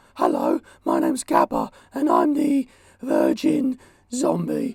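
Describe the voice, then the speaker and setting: A man's put-on character voice, extremely high in pitch. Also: fairly slow pace. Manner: zombie impression, groaning.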